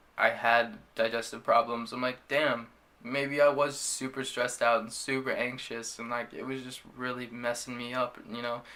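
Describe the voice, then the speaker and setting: A man with a medium-pitched voice speaks at a moderate pace in a monotone, flat intonation, his loudness swinging widely. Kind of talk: casual talk to camera. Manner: stuttering, frequent filler words.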